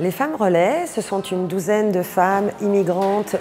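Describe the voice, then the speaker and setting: There is noticeable background noise. Over it, a woman talks very slowly. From Belgian Congo, of Indian descent. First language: Kutchi and Gujarati (speaking French). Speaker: community liaison worker. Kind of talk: interview testimony.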